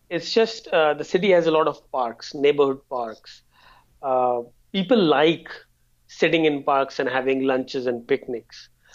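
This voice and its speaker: The man speaking has a fairly high pitch. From India. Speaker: travel guest. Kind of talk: casual interview.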